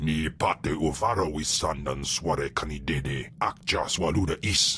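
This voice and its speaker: In a cartoonish character voice, a man growls out a menacing tone at a very deep, low pitch and a fairly slow pace over clear background noise. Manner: menacing, guttural, speaks alien tongue.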